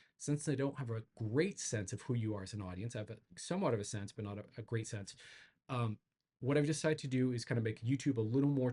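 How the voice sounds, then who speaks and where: Somewhat breathy and dark, mellow in tone, a man's medium-pitched voice moves at a very fast pace. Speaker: psychedelic integration coach and YouTuber. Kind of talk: casual channel update monologue. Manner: halting, with filler words and repetitions.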